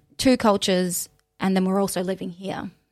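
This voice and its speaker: An Australian accent carries through this woman's speech. The recording is very clean, with a silent background. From Australia, Mildura (country Victoria). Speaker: teacher. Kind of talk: casual chat. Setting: studio.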